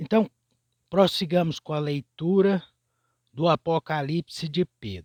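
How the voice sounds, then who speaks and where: A man speaks very slowly at a high pitch, with a dark, mellow tone and ordinary pitch variation. The sound is dry and close with no echo, and the recording is very clean against a silent background. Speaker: religious teacher reading scripture. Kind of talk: scripture reading with commentary.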